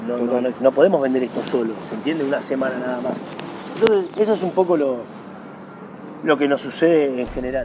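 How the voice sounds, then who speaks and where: Amid noticeable background noise, a man with a Rioplatense accent talks at a fairly quick pace with lively intonation. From Argentina. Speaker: former tennis pro and federation executive; interviewee. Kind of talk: interview. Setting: tennis club. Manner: animated. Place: garden.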